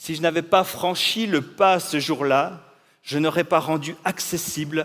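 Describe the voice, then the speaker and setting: The recording is very clean, with a silent background. A man speaks fairly slowly at a fairly high pitch. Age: 40s. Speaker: pastor. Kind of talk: inspirational talk.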